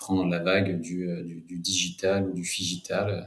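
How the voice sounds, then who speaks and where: A man's voice, very deep and low in pitch. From France, Cognac area. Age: 40s. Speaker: wine entrepreneur. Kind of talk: interview. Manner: halting, many repetitions.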